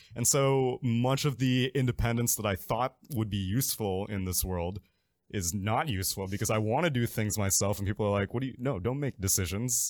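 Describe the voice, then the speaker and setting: In a very clean recording with a silent background, a man with an ordinary speaking voice talks at a fairly quick pace, at medium pitch with ordinary pitch variation. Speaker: esports caster guest. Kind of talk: casual chat.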